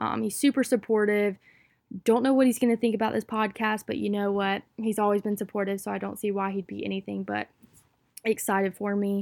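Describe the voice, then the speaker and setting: On a very clean, dry, close recording with no echo and a silent background, a woman with an American accent speaks at a medium pitch and a fairly quick pace. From US South, North Carolina (Wilmington). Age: 20s. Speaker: podcast host, college student. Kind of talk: casual monologue. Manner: animated.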